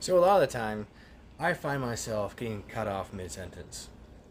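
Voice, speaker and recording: With a somewhat breathy voice at medium pitch, a man speaks at a moderate pace with very wide pitch swings. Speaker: vlogger. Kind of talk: casual monologue. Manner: frequent pauses.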